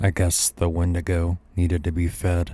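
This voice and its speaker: The speaker uses a put-on character voice with fairly even intonation at a moderate pace. The recording is very clean, with a silent background. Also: man, very deep, low pitch for a man. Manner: muttering, subdued.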